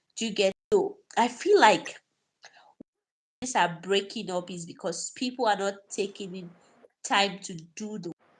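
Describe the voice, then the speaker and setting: A somewhat breathy voice at a fairly slow pace, with long, frequent pauses, ordinary pitch variation, and big swings in loudness. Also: woman, medium pitch for a woman. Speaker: relationship advice host. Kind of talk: live stream advice talk.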